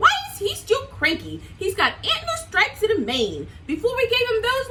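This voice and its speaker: A woman does a squeaky, put-on character voice at an extremely high pitch and a moderate pace. Clear background noise runs underneath. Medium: read story.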